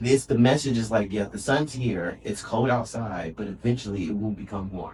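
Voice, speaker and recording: Somewhat breathy, a man speaks at a medium pitch and a moderate pace, his pitch varying in an ordinary way. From North Carolina. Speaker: dance music fan and podcast guest. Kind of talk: casual chat.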